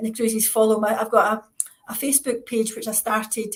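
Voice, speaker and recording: A woman's fairly high voice with a Scottish accent. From Scotland. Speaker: author, retired psychiatrist. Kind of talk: interview. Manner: fast.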